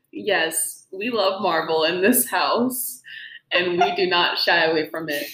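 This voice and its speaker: There is audible room echo as a woman speaks at medium pitch and a fairly slow pace. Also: lively intonation. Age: young. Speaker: podcast host, music student. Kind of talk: casual chat.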